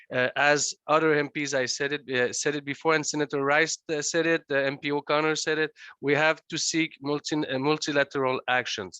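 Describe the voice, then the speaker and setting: Speaking at a fairly quick pace with hardly any pauses, a man holds a fairly high pitch in a monotone, flat intonation. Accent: non-native. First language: French. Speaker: legislator. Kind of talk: conference remarks. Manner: halting, many hesitations.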